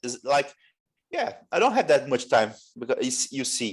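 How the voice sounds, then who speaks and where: The speaker has a Portuguese accent. The pace is moderate. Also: man. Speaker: English learner. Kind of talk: English conversation class. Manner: halting, many restarts; stutters at times.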